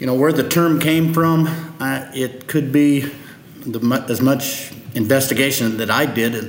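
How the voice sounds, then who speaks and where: With audible room echo and noticeable background noise, a man of medium pitch speaks at a fairly slow pace. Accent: Midwestern US. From Nebraska. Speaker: agronomist. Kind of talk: interview.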